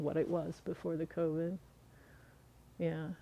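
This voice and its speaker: A woman with an unremarkable speaking voice talks at a fairly slow pace and a fairly low pitch. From US Midwest (southern Missouri, Ozarks). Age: 60s. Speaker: herbalist teacher. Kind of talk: casual chat.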